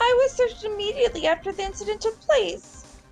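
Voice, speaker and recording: Over clear background music, a woman in a put-on character voice squeaks very fast at an extremely high pitch. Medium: game stream. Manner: polite, composed.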